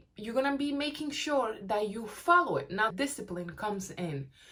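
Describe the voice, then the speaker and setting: Noticeable background noise sits behind a woman speaking at a moderate pace with very wide pitch swings. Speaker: weight-loss vlogger. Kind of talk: casual talk-to-camera advice.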